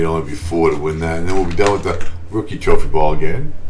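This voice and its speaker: Very fast speech with fairly even intonation comes through audible room echo and noticeable background noise. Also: man. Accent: Boston. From Boston, US. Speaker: gaming YouTuber. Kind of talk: gameplay commentary. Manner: casual, chatty.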